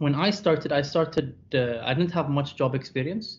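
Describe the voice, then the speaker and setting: Light background noise sits behind a man whose somewhat breathy voice shows ordinary pitch variation. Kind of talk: lecture. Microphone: webcam.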